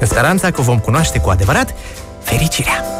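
Man over clear music in the background. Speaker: radio host. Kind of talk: radio show intro. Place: studio. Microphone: studio mic.

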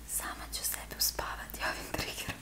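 Over noticeable background noise, a soft-spoken woman whispers. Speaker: ASMR creator. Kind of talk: soft ASMR show-and-tell. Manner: soft ASMR whisper. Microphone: phone near.

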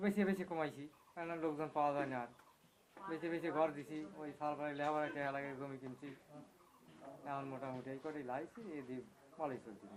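A man's fairly high voice varies in pitch in an ordinary way, with noticeable background noise behind it. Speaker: dairy farmer. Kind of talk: interview.

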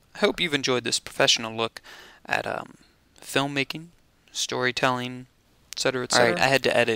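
A man's bright, sharp voice with a dry sound, no echo, and a quiet background. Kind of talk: casual vlog chat. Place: home room. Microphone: headset.

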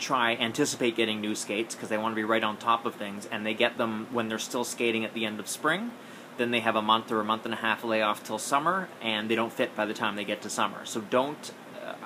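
With noticeable background noise behind him, a man speaks very fast. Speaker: skating coach. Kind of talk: casual advice vlog. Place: home room. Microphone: phone near.

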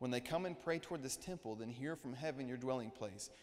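A man's very fast speech with ordinary pitch variation. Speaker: preacher. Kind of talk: sermon. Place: church.

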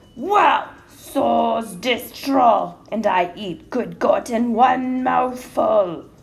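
In a put-on character voice, a woman growls at a high pitch, speaking very slowly. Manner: mean, growling.

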